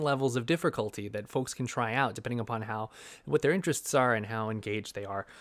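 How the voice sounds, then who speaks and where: A man talks at a very fast pace, and the recording is very clean with a silent background. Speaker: physics educator. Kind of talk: vlog monologue. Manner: animated; hesitant fillers.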